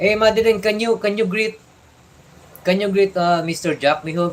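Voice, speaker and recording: A man with a Filipino accent. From Philippines. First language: Tagalog. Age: 60s. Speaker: live streamer. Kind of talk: casual live chat. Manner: halting.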